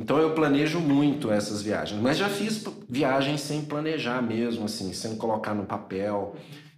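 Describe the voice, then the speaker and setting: Audible room echo and noticeable background noise accompany the man who is talking. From Minas Gerais, Brazil (Governador Valadares). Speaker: motorcycle traveler and photographer. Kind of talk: casual interview chat.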